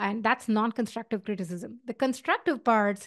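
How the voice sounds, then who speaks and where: A woman's fairly high-pitched voice with an Indian accent, at a moderate pace and with ordinary pitch variation, in a dry, close sound without echo over a quiet background. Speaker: tech founder and podcast host. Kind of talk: casual advice talk. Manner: hesitant with fillers.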